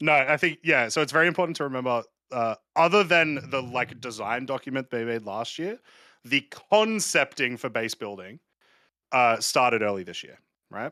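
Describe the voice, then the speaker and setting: A man with an Australian accent speaks in a bright, sharp tone with lively intonation and big swings in loudness. The sound is dry and close, with no echo. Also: medium pitch for a man, moderate pace. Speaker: podcast co-host. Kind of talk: call-in show chat.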